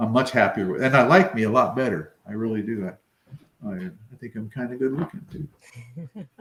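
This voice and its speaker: This man has an ordinary speaking voice, medium in pitch, at a moderate pace. His intonation is lively, and his loudness swings a lot. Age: 60s. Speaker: weight-loss interviewee. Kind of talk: interview.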